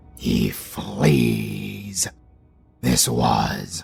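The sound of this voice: Putting on a character voice with a British accent, a man speaks at a very slow pace and an extremely low pitch, swinging very widely in pitch with vocal fry, a husky, rough edge and a slightly mellow tone over faint music in the background.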